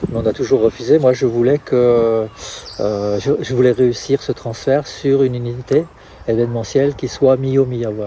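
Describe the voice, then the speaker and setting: With noticeable background noise behind it, the speech keeps fairly even intonation at a moderate pace. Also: man, medium pitch for a man. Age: 60s. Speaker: trail race organizer. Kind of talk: interview. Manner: halting.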